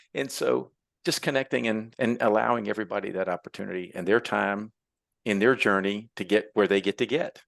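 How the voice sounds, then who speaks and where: A normal speaking voice from a man, fairly low in pitch, with lively intonation at a fairly quick pace over a quiet background. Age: 60s. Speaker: entrepreneur and tradesman. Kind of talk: podcast interview. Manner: conversational, with many fillers.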